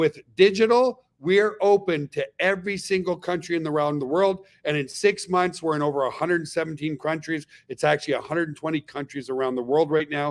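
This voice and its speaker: An animated tone at a fairly quick pace, with hardly any pauses and ordinary pitch variation. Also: man, fairly high pitch for a man. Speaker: network marketing company leader hosting webinar. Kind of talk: webinar sales presentation. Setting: online webinar. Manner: fast.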